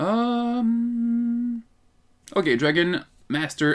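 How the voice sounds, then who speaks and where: Here a man is talking. He has a Quebec accent. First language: French. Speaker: card game youtuber. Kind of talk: casual tutorial. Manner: casual, halting.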